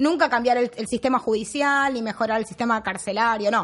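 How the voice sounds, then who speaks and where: This woman's voice sits at a high pitch. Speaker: comedy show co-host. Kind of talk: satirical news commentary.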